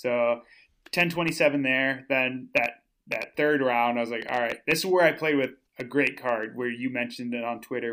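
A man with an American accent has a plain, everyday voice at medium pitch, moderate pace and fairly even intonation. The recording is very clean, with a silent background. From Minnesota. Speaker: professional disc golfer. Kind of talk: casual chat.

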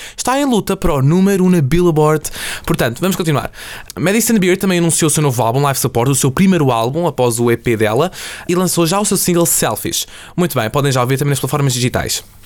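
A man with a fairly high pitch talks at a very fast pace with lively intonation and very even loudness, over noticeable background noise. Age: young. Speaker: student podcast host. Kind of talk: casual chat. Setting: studio.

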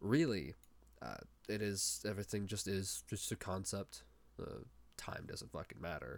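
A man talks with very wide pitch swings and vocal fry at a fairly low pitch. He leaves long, frequent pauses. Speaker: podcast host. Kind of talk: solo monologue. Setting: home recording with headset mic. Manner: fast talker; halting, many fillers and restarts.

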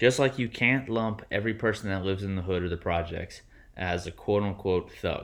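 Here is a man with an unremarkable speaking voice and fairly low pitch. He moves at a fairly quick pace with ordinary pitch variation. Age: 30s. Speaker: podcast co-host. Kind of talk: casual chat.

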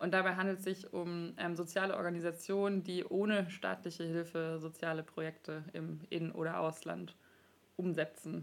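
A woman with a fairly low voice speaks at a moderate pace in a monotone, flat intonation. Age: 20s. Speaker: podcast host, master's student. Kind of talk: casual interview.

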